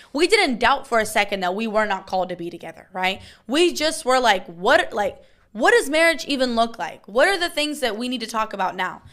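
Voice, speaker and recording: A loud, fairly high female voice with very wide pitch swings at a fairly quick pace, on a very clean recording with a silent background. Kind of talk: casual chat.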